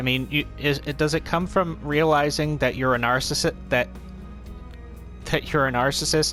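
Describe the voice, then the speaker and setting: Music in the background behind a man at a moderate pace. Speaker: let's play commentator. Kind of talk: casual gameplay commentary. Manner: stuttering, hesitant.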